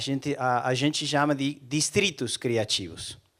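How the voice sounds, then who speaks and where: The recording is very clean, with a silent background. A man talks at a moderate pace with a fairly high pitch. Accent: Spanish. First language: Spanish (speaking Portuguese). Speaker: government official. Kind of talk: conference talk. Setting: stage with audience. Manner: halting.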